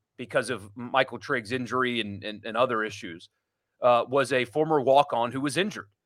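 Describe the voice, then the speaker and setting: This man has a normal speaking voice at a medium pitch, talking at a moderate pace on a very clean recording with a silent background. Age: 30s. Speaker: sports radio host. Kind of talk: casual chat.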